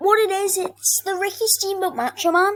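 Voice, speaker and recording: At a moderate pace, a woman speaks in a squeaky voice. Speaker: gaming and wrestling YouTuber. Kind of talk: casual ranking commentary video. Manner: halting, many fillers and restarts.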